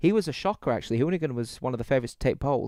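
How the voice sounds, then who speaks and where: Someone with a British accent speaks in an animated tone, the sound dry and close with no echo. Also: man. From UK. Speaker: sim racing commentator. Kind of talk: live commentary.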